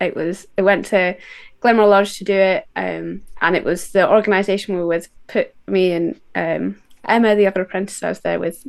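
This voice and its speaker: A woman speaks at a moderate pace in a Scottish accent. The background is quiet. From west of Scotland. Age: 20s. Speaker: outdoor instructor. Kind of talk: interview.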